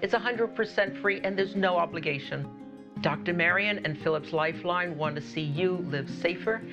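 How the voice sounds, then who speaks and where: With clear music in the background, a woman speaks at a moderate pace in a very deep, low pitch. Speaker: infomercial presenter. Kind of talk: infomercial announcer read. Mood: warm, reassuring. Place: studio. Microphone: lapel.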